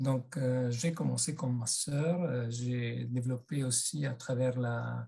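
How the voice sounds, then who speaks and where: With an Italian accent, the speaker goes at a very slow pace with hardly any pauses, fairly even intonation and very even loudness. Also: man, medium pitch for a man. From Italy. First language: Italian (speaking French). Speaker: massage therapist and body psychotherapy trainer. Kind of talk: webinar presentation. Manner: hesitant, many fillers.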